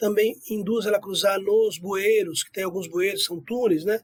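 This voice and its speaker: At a moderate pace, a man speaks in a high pitch with ordinary pitch variation, the sound dry and close with no echo. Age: 60s. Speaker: environmental researcher. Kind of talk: interview. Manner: conversational with fillers.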